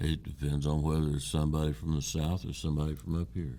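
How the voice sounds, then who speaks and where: A man's very deep, low voice with an Ohio accent. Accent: southern-sounding hillbilly Ohio. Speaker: podcast co-host. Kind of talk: casual chat.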